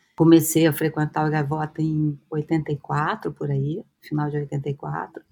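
A woman speaks very slowly in a very deep, low pitch with a dark, mellow tone and fairly even intonation. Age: 60s. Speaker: psychoanalyst and university professor. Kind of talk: interview, personal recollection. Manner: hesitant, many fillers and repetitions.

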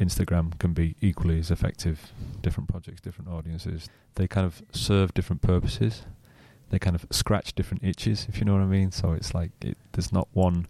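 A man's very deep, low voice with a dark, mellow tone and a northern English accent, at a fairly quick pace with ordinary pitch variation, dry and close with no echo, on a very clean recording against a silent background. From northwest England, near Manchester. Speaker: social media marketer. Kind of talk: interview.

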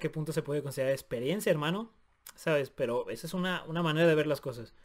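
In a Mexican accent, a man speaks at a fairly high pitch on a very clean recording with a silent background. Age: 20s. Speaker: podcast co-host. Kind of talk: casual chat.

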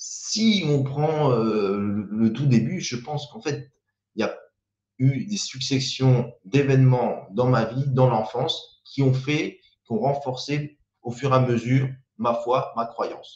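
The speaker talks at a very slow pace. Pitch varies in an ordinary way. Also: man, medium pitch for a man. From French Riviera, Saint-Laurent-du-Var. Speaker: YouTuber and small business owner. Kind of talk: live stream monologue. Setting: live video stream. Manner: hesitant, many repetitions and fillers.

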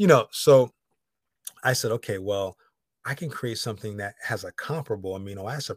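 A man with an American accent, medium pitch, a somewhat breathy voice and a fairly quick pace, in a dry, close sound with no echo. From Connecticut. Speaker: founder of plant-based shake company. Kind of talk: casual interview. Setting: video call.

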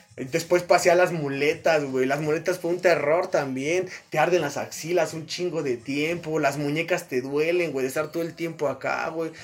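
Fairly even intonation and a moderate pace come through over noticeable background noise. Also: man, fairly high pitch for a man. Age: 20s. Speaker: boxing coach and nurse. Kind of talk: casual chat.

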